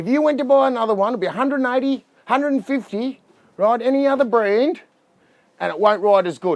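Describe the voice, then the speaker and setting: An animated man with an Australian accent talks at a fairly quick pace, his pitch extremely high with ordinary variation. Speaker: boat dealer. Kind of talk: product review walkthrough. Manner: fast.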